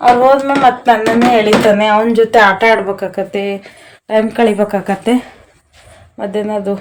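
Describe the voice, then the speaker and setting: A woman's medium-pitched voice, monotone and flat in intonation. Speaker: lifestyle vlogger, homemaker. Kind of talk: daily vlog narration. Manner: quiet, speaking softly while child sleeps.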